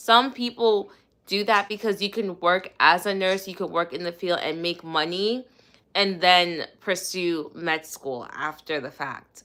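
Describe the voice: A woman's fairly low voice, bright and sharp in tone, at a fairly slow pace with ordinary pitch variation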